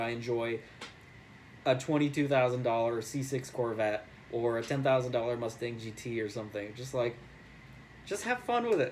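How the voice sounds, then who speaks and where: In a normal speaking voice, a man with an American accent keeps a moderate pace, a medium pitch and ordinary pitch variation. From New York. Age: 20s. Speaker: real estate agent and car enthusiast. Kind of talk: contest submission video, casual monologue. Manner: casual, filler-heavy.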